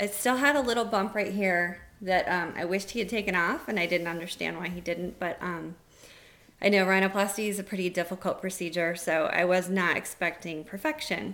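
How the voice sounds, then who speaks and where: At a fairly quick pace, a woman speaks at medium pitch with ordinary pitch variation, in a very clean recording with a silent background. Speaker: patient giving a review. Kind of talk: personal testimony. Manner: hesitant with many fillers.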